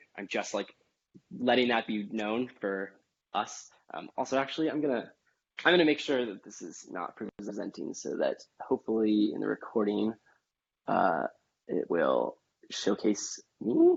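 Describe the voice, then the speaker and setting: His loudness swings widely from moment to moment. The man also pauses often and at length. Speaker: cooking class instructor. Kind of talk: tutorial. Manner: fast; casual, hesitant with many fillers.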